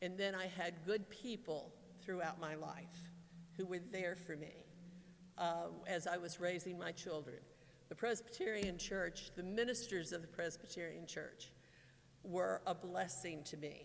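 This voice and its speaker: With audible room echo, a woman speaks at a fairly slow pace, her fairly low pitch showing ordinary variation. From Kentucky, Lexington. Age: 60s. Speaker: retiring pastoral associate. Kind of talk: farewell speech. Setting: church. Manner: halting.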